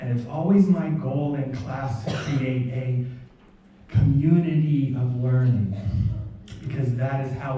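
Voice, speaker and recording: A man at a medium pitch and a fairly slow pace, with audible room echo and noticeable background noise. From US, rural Pennsylvania. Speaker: professor. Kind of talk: public talk. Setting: stage with audience.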